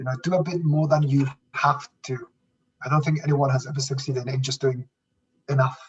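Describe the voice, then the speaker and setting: A man talks fairly quickly in a fairly high, somewhat breathy voice. His intonation is monotone and flat, broken by long, frequent pauses. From Canary Islands, Spain. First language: Spanish. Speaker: business executive. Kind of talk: podcast interview. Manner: halting, many repetitions.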